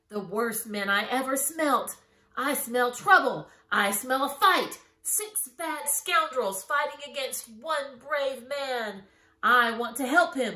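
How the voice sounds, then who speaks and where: Growling in a put-on character voice, a woman speaks at a high pitch. Her pace is fairly slow. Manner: growling, fierce.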